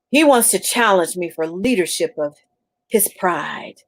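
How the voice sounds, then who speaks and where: Using a put-on character voice, a woman rumbles at a medium pitch. Her pace is moderate. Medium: read story.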